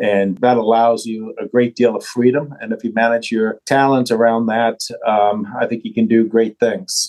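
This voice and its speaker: A man at a medium pitch and a moderate pace. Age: 60s. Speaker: bank CEO. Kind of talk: interview.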